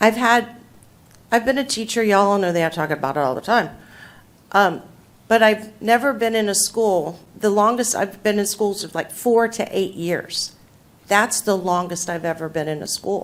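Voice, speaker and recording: Her pitch is medium and varies an ordinary amount as the woman speaks at a moderate pace. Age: 60s. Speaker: outgoing school board member. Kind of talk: farewell speech at a public meeting. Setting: school board meeting. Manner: halting, many fillers.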